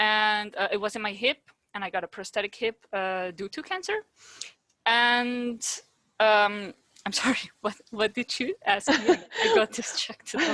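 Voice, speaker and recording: With a Dutch accent, a woman speaks at a fairly slow pace with long, frequent pauses, a fairly high pitch, ordinary pitch variation and a bright, sharp tone, in a dry, close sound with no echo. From Netherlands. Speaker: podcast host, childhood cancer survivor. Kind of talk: casual interview chat.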